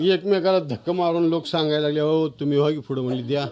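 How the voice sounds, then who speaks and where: A man's voice with noticeable background noise. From Maharashtra. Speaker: author. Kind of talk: storytelling.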